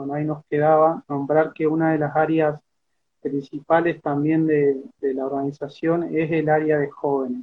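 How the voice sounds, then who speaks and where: At a moderate pace, a man speaks in a flat monotone with a fairly high pitch. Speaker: peasant organization member. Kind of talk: interview. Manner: halting.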